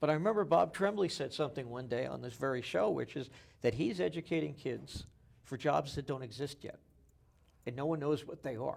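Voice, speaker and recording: A man with an American accent talks at a fairly quick pace and a fairly high pitch. His intonation is lively, and his voice has vocal fry. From New Jersey. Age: 60s. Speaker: local TV interview host. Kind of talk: interview.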